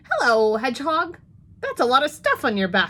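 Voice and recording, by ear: A woman puts on a croaky character voice, pitched high and delivered at a moderate pace.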